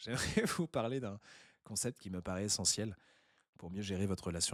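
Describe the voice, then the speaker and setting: A man speaks in a normal speaking voice with a fairly low pitch and ordinary pitch variation, dry and close with no echo on a very clean recording with a silent background. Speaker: online intercultural business coach. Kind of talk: educational talk to camera.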